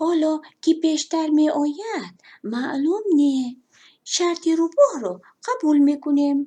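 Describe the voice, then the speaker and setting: Using a put-on character voice, a woman talks with a high pitch. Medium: read story. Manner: calm, confident.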